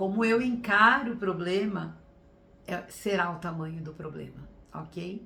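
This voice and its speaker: A woman with a medium pitch and lively intonation, at a fairly slow pace, with audible room echo. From Brazil, São Paulo state (Sorocaba). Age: 60s. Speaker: teacher and workshop speaker. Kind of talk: online workshop talk. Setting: live stream.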